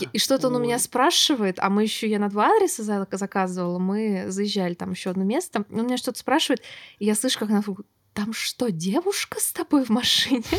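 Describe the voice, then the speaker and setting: With a normal speaking voice, a woman talks at a fairly quick pace and fairly high pitch on a very clean recording with a silent background. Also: lively intonation. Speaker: podcast host. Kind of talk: casual chat.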